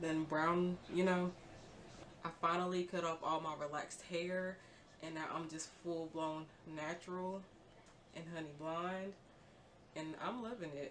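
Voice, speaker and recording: In a quiet, fairly low voice, a woman speaks fairly slowly with monotone, flat intonation over noticeable background noise. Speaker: beauty vlogger. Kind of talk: tutorial. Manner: casual, filler-heavy; quiet, low volume.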